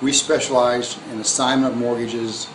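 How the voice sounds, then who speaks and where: Noticeable background noise sits behind a man's voice. He speaks in a monotone, flat intonation with an American accent. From US Midwest (Hammond, Indiana); Indiana. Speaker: real estate investor. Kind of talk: scripted promotional self-introduction. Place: home room. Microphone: phone near.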